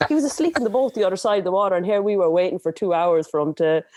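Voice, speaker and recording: Very fast speech in an Irish accent, with a dark, mellow tone and very wide pitch swings. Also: woman. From Ireland. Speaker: adventure racer. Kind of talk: podcast interview answer. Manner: energetic.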